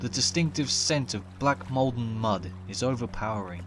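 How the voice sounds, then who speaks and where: Music plays in the background. A man talks with a medium pitch. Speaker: folklore narrator. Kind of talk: horror story narration.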